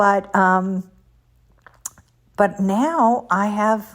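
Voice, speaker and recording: Noticeable background noise runs through the clip. Over it, a woman talks at a medium pitch. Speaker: motivational speaker. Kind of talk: religious podcast talk.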